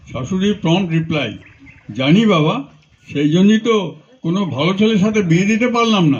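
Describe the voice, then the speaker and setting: Noticeable background noise sits under this recording. A man with a high pitch speaks with lively intonation. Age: 80s+. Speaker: stand-up comedian. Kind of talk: stand-up joke telling.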